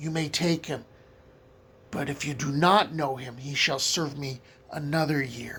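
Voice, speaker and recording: Using a put-on character voice, a man talks in a raspy tone at a fairly slow pace. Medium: read story.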